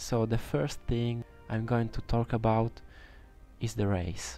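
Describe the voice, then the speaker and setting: Speaking at a fairly slow pace, a man delivers his words in a medium pitch with a dark, mellow tone. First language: Italian. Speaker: video game streamer. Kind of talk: tutorial. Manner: halting.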